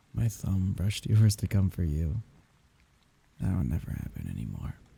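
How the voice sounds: A put-on character voice at a moderate pace, with vocal fry, a husky, rough edge, a dark, mellow tone and big pitch swings. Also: man, low pitch for a man.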